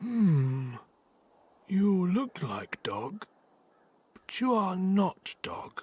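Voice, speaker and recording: A put-on character voice at a middle pitch, very slow, with long and frequent pauses. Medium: video game.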